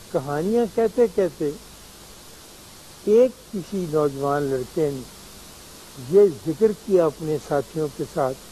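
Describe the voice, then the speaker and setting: A man speaks with a fairly high pitch and a dark, mellow tone. His delivery is calm in tone, yet his intonation is lively. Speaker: writer, philosopher and spiritual teacher. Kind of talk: television talk / conversational lecture. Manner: calm, reflective.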